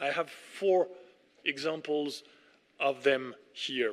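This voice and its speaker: Someone with a French accent speaks in a bright, sharp tone with ordinary pitch variation. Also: man. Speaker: ambassador. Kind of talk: formal speech.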